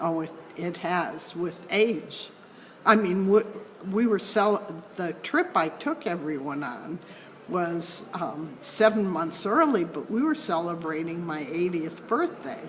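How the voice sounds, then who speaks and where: Over noticeable background noise, a woman speaks at a fairly low pitch and a very slow pace. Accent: American. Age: 80s+. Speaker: mediator. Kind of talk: interview. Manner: halting.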